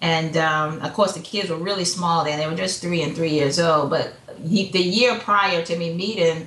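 A woman talks in an American accent with fairly even intonation. Audible room echo and noticeable background noise fill the recording. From Hampton, Virginia. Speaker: entrepreneur, psychology counselor. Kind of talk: casual interview chat.

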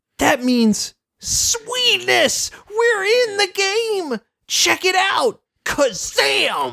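A put-on character voice sits at an extremely high pitch. The delivery is very slow. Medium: talk show. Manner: excited, indignant.

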